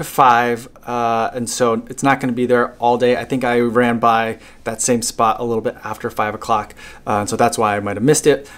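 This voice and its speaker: A man at a moderate pace. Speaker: runner vlogger. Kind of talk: casual vlog chat. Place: home room. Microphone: phone near.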